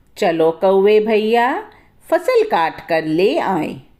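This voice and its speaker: Using a put-on character voice, a woman speaks at medium pitch and a very slow pace. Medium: read story. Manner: brisk, encouraging.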